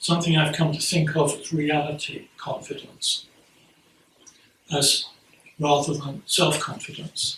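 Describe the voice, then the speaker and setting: A man with an English accent, fairly high in pitch, at a moderate pace and with monotone, flat intonation, over noticeable background noise. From England. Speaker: Buddhist priest giving a Dharma talk. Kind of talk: sermon. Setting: priory talk to a gathering. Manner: halting, frequent repetitions and fillers.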